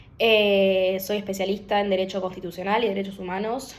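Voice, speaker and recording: Speaking fairly quickly, a woman uses a Rioplatense accent at a medium pitch. Room echo is audible. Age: 20s. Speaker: lawyer. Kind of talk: political opinion monologue to camera. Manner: hesitant, many fillers.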